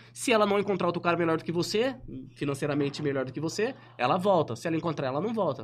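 A man's fairly high voice, very fast and animated, with lively intonation. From Ribeirão Preto, São Paulo state, Brazil. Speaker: online influencer. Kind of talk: casual interview chat. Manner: animated, slangy.

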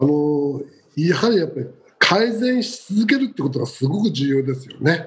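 At a moderate pace, a man with a fairly high pitch speaks with very wide pitch swings and big swings in loudness. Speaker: business coach. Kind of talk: panel discussion.

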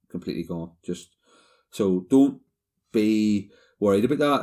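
In a very clean recording with a silent background, a man with a Northern Irish accent speaks at a fairly low pitch with a dark, mellow tone and ordinary pitch variation. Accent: Northern Irish (Ulster). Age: 40s. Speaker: cancer survivor. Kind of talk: personal testimony.

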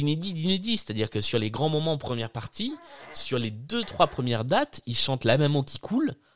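Recorded very cleanly against a silent background with a dry, close sound and no echo, a man speaks at a moderate pace in a fairly high voice with very wide pitch swings. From southern France. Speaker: podcast host. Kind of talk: casual chat. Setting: live stream.

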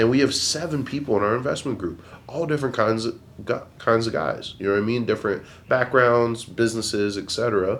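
At a fairly quick pace, a man speaks in a normal speaking voice at a medium pitch with ordinary pitch variation. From Pennsylvania, Bethlehem area. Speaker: photographer and entrepreneur. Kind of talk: casual chat.

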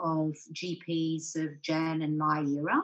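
A woman's fairly low voice with an Australian accent. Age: 60s. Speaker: general practitioner with lived experience of depression. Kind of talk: panel discussion.

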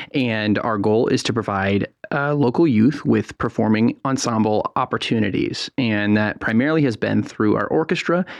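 A man with an ordinary speaking voice talks at a medium pitch and a moderate pace, with ordinary pitch variation and hardly any pauses. His loudness is very even, and the sound is dry and close with no echo against a quiet background. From San Francisco Bay Area, California. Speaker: youth orchestra executive director. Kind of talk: radio interview.

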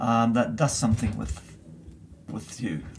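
A man with a Dutch accent speaks at a moderate pace in a medium pitch. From Netherlands, Bible Belt. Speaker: missiology professor. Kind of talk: interview. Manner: halting.

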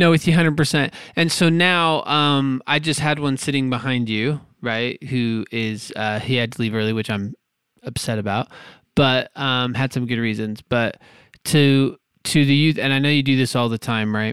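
With an unremarkable speaking voice, a man of medium pitch talks at a moderate pace with ordinary pitch variation. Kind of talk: casual interview.

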